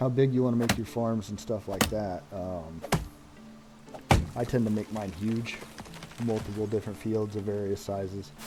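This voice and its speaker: With music in the background, a man of fairly low pitch talks at a moderate pace with fairly even intonation and long, frequent pauses. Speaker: gaming streamer. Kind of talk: live gameplay commentary. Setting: live stream.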